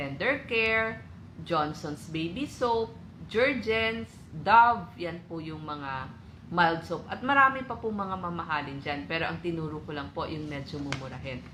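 A woman with a fairly low pitch speaks at a fairly slow pace, her bright, sharp tone marked by big swings in loudness and very wide pitch swings. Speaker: co-presenter of health tips. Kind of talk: health tutorial. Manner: polite.

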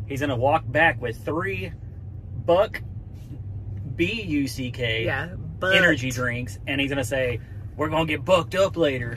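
A man at a fairly slow pace, light background noise behind him. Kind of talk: casual vlog chat. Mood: joking, playful. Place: car.

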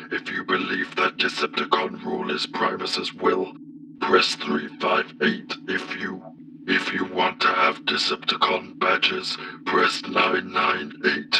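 A man puts on a character voice at a fairly slow pace, with clear background noise behind him. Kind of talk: comic dub.

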